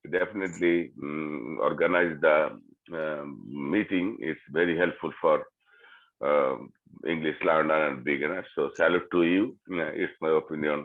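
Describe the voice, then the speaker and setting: A man with a Bengali accent at a moderate pace. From Bangladesh. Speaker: English learner. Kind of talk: group discussion. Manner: halting.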